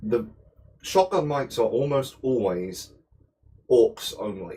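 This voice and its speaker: A man with a British accent speaks in a medium pitch. His dark, mellow tone is somewhat breathy. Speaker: cooking livestreamer. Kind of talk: casual chat while cooking. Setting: home kitchen livestream.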